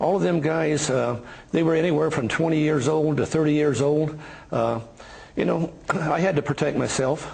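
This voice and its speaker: Fairly high-pitched, a man keeps very even loudness and fairly even intonation at a moderate pace, with noticeable background noise behind him. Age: 60s. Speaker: rancher. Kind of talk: interview. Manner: halting.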